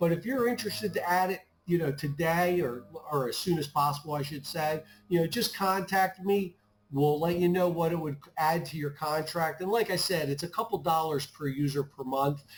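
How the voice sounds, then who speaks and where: A man talks at a moderate speed in an unremarkable speaking voice, pitched fairly high, with ordinary pitch variation. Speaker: IT services manager. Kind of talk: webinar presentation.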